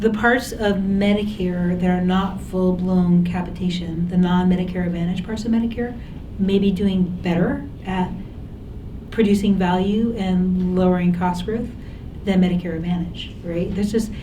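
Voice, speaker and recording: A woman's flat, monotone speech comes with audible room echo and noticeable background noise. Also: medium pitch for a woman, moderate pace. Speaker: former government health policy official. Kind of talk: panel Q&A discussion.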